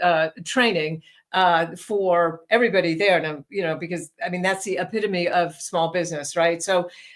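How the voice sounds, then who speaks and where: With a New York accent, a woman speaks at a fairly low pitch. Her intonation stays fairly even. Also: moderate pace. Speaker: leadership training executive. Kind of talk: interview.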